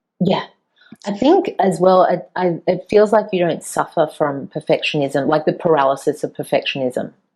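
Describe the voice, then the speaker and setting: This is an ordinary speaking voice from a woman with a fairly low pitch. She talks at a moderate pace with ordinary pitch variation. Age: 40s. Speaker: podcast host. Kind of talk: interview conversation.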